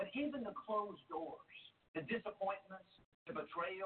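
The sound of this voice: Lively intonation carries through an unforced reading voice.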